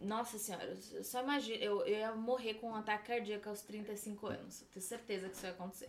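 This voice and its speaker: A woman speaks fairly quickly in a fairly high, flat monotone with hardly any pauses, over noticeable background noise. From São Paulo, Brazil. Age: 20s. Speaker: makeup artist. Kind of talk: casual chat.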